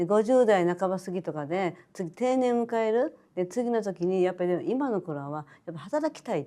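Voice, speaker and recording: Over a quiet background, a woman with a dark, mellow tone speaks at medium pitch and a moderate pace, her pitch swinging very widely. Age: 70s. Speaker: boutique owner. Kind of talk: interview answer.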